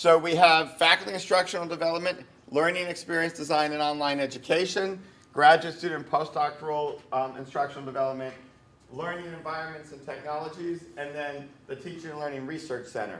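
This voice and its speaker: A man's fairly high voice at a fairly quick pace, with fairly even intonation, big swings in loudness and noticeable background noise. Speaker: university vice provost. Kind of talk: informal campus presentation. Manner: casual, hesitant with frequent ums.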